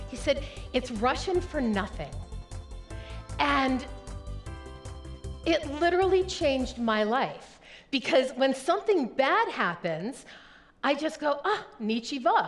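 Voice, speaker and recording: Over music in the background, a woman speaks at a very slow pace and a high pitch, with very wide pitch swings and long, frequent pauses. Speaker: professional keynote speaker. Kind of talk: keynote speech to a live audience. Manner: high-energy, engaging.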